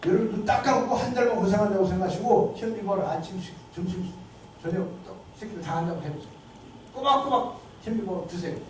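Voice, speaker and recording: The pace is very fast, broken by long, frequent pauses. Background noise is noticeable. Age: 70s. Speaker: lecturer, lawyer and health campaigner. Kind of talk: lecture. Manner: animated, conversational.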